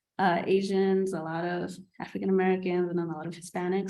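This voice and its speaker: Audible room echo surrounds a woman talking at a very fast pace, her medium-pitched voice keeping fairly even intonation. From New York City. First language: not English. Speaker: nursing student. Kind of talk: panel discussion.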